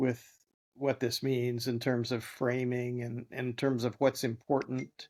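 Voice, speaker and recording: A man speaks with an American accent. His pitch is medium and his pace fairly slow. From US Midwest, Bloomington, Indiana. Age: 70s. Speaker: filmmaker and ecologist. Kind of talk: interview conversation. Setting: podcast interview. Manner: halting, repeats words.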